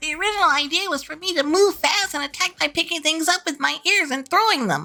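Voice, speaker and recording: A put-on character voice races along at a very fast pace, squeaky and extremely high in pitch. Faint music plays in the background. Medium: voice reel.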